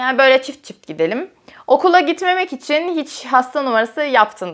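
Against a quiet background, the voice moves through very wide pitch swings. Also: woman. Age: 20s. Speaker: YouTuber. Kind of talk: casual vlog chat. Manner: frequent laughter. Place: home room.

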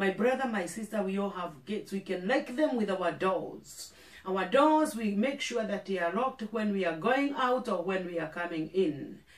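A woman speaks at a moderate pace with hardly any pauses. Audible room echo surrounds her voice. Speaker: pastor. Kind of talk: sermon. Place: studio.

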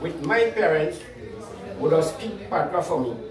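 A Trinidadian accent at a moderate pace, with audible room echo and light background noise. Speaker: farmer. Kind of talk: interview answer. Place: home room. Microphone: camera far.

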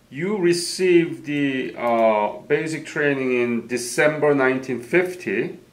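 A man with a fairly high pitch speaks at a very slow pace with ordinary pitch variation and hardly any pauses. Noticeable background noise sits behind him. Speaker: interviewer. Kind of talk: oral history interview.

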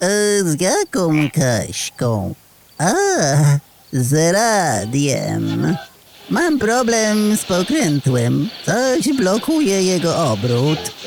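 In a put-on character voice of middle pitch, the speaker drawls at a very slow pace. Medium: audio drama.

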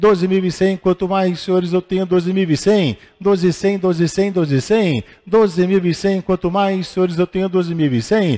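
A man's high-pitched voice with a dark, mellow tone at a fairly slow pace, the sound dry and close with no echo. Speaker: auctioneer. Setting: live auction hall with in-person and online bidders. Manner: formal, addresses bidders as senhores.

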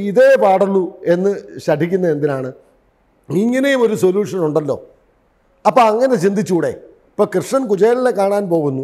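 Against a quiet background, a man talks in a high voice with lively intonation. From Kerala, India. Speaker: theatre director; interviewee. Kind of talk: interview monologue. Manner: formal. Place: studio. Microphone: lapel.

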